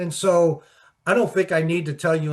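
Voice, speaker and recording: A man with an American accent, somewhat breathy, fairly even in intonation, against a quiet background. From Pittsburgh, US. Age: 60s. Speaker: sports journalist and author. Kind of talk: interview. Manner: halting, repetitive.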